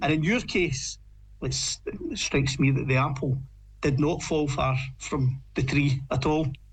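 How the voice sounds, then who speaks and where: With a Lanarkshire accent, this speaker talks at a fairly slow pace, using fairly even intonation and audible vocal fry. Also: man, fairly high pitch for a man. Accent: Lanarkshire Scottish. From Scotland, Lanarkshire. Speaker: podcast co-host. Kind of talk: podcast conversation.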